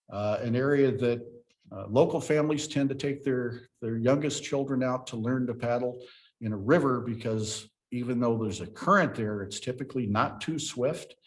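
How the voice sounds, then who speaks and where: In an American accent, a man speaks at a moderate pace with an unremarkable speaking voice. His pitch sits in the medium range and varies in an ordinary way. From US Ozarks. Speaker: park ranger. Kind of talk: presentation.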